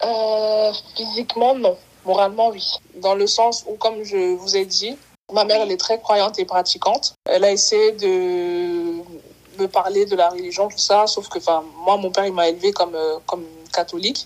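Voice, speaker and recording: A woman's plain, everyday voice at medium pitch, with fairly even intonation and a moderate pace. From Cameroon. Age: 20s. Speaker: footballer and insurance salesperson. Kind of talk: interview, personal testimony.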